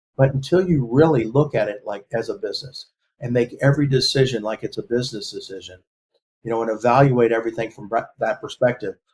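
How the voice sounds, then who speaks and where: Speaking very fast in an American accent, a man uses a medium pitch, a somewhat breathy delivery and ordinary pitch variation. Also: big swings in loudness. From Texas, Galveston. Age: 60s. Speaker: lawyer. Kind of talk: interview. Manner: halting.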